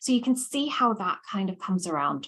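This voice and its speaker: A woman speaks with a Scottish accent and lively intonation. Her voice is somewhat breathy. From Scotland. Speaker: lecturer. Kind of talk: lecture. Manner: conversational, many fillers.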